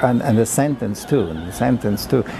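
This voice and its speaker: A man speaks with a German accent over music in the background. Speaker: composer. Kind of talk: interview. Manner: halting, many fillers and repeats.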